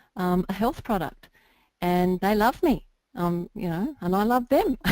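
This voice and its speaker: A woman at medium pitch, dark and mellow in tone, at a moderate pace, on a very clean recording with a silent background. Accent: Australian. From Australia. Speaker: internet marketer. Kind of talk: interview.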